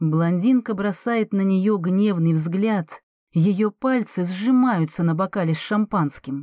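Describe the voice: Plain reading aloud with ordinary pitch variation and a quiet background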